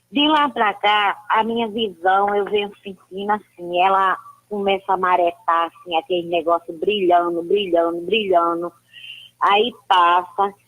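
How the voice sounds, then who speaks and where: A woman speaks at a fairly slow pace and a medium pitch. Hers is a plain, everyday voice. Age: 60s. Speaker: caller. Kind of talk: phone-in question.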